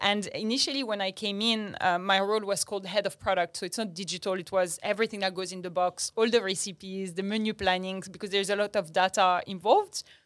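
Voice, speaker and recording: A woman with a French accent at medium pitch, very fast with hardly any pauses, fairly even intonation, a dry, close sound with no echo and a very clean recording with a silent background. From Morocco (Agadir), half French. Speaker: startup founder. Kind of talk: interview conversation.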